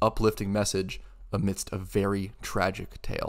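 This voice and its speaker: At a moderate pace, a man speaks in a serious tone. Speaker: game reviewer. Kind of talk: scripted video essay narration. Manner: serious in tone.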